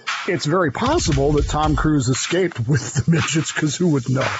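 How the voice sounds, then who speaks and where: Music runs in the background as a man talks at a moderate pace, his pitch fairly high with ordinary variation and his loudness very even. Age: 60s. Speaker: podcast co-host. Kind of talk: casual chat. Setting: studio. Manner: animated.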